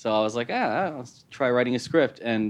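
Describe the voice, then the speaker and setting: Against a quiet background, a man with a plain, everyday voice and an American accent talks at a fairly quick pace with ordinary pitch variation. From US Midwest, Chicago. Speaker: writer and film director. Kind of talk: casual interview. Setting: studio.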